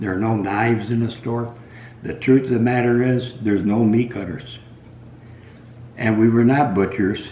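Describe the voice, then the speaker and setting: Audible room echo surrounds a man speaking at a medium pitch. He keeps a moderate pace and fairly even intonation. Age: 80s+. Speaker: retired meat cutter. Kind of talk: casual storytelling monologue. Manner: halting.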